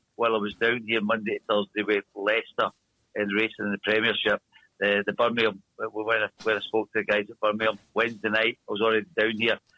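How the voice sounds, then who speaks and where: With a strong Glasgow accent, a man talks at a fairly quick pace and a medium pitch. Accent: strong Glasgow Scottish. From Scotland, Glasgow. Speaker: speedway team manager. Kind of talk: interview. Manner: tends to talk fast when excited.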